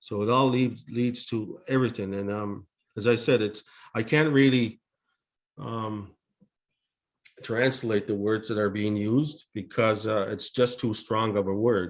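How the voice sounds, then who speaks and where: A man with a non-native accent talks fairly slowly at a medium pitch, with fairly even intonation and long, frequent pauses. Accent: non-native English speaker. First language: Mi'kmaq. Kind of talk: opening reflection and welcome at a webinar. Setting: online webinar. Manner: halting, with many fillers.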